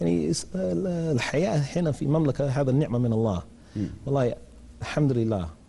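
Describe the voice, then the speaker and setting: Somewhat breathy and very even in loudness, a man speaks at a moderate pace in a medium pitch with very wide pitch swings. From England, London. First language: English (speaking Arabic). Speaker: English teacher. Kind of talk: TV interview. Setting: studio. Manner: halting. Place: studio. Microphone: lapel.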